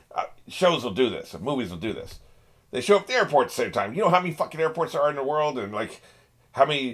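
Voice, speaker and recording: Against a quiet background, a man talks at a very fast pace with vocal fry, very wide pitch swings and big swings in loudness. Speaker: reaction channel host. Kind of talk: casual commentary on a TV show. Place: home room. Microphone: webcam.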